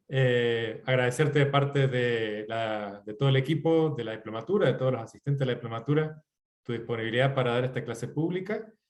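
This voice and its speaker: A man with a normal speaking voice talks fairly quickly at medium pitch, with ordinary pitch variation. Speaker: course coordinator. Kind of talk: closing remarks.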